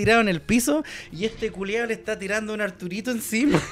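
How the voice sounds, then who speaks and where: Talking at a very fast pace, a man with high pitch shows ordinary pitch variation. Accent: Chilean. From Chile. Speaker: podcast co-host. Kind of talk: casual chat. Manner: animated. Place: studio. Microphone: studio mic.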